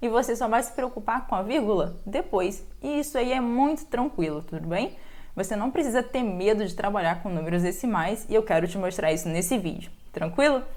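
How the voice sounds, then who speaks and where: Speaking in a normal speaking voice at a moderate pace, a woman uses lively intonation at a fairly high pitch. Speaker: math teacher. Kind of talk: tutorial.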